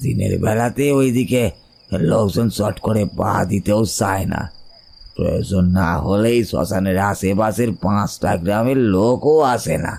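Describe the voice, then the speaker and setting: Using a put-on character voice, a man talks at a fairly slow pace with a fairly low pitch. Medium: audio drama. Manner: earnest, confiding.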